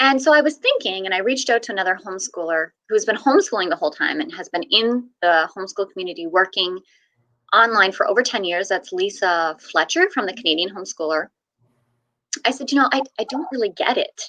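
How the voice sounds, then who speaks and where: A woman talks at a very fast pace. Her bright, sharp voice swings very widely in pitch. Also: medium pitch for a woman. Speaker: homeschooling mom and blogger. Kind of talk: interview storytelling.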